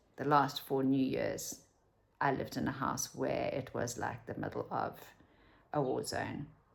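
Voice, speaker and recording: At a moderate pace, a woman speaks in a South African accent. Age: 50s. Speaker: vlogger. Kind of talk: casual chat.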